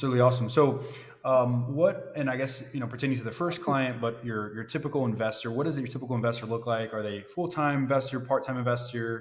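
A medium-pitched man with an American accent, very fast pace and fairly even intonation, amid audible room echo and noticeable background noise. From Florida. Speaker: podcast host. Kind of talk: interview.

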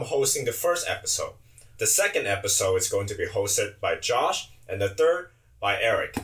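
A man with a Chinese accent speaks at a moderate pace. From China. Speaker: podcast co-host. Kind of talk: casual chat. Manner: animated.

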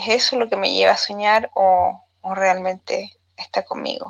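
A woman with a Chilean accent, at a very slow pace. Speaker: widowed listener sending a voice note. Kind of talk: recorded voice message. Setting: voice note.

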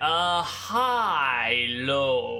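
The speaker uses a put-on character voice at a middle pitch. The pitch swings very widely. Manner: awkward greeting.

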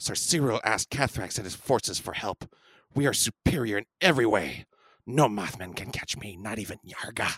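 On a very clean recording with a silent background, a man performs a put-on character voice at a moderate pace. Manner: arrogant, menacing.

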